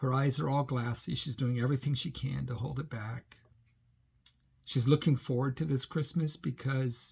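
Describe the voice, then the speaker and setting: With an American accent, a man talks at a moderate pace and a medium pitch. His voice is somewhat breathy, with ordinary pitch variation. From Britain. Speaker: pilgrimage vlogger. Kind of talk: casual vlog monologue. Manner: halting, with frequent restarts.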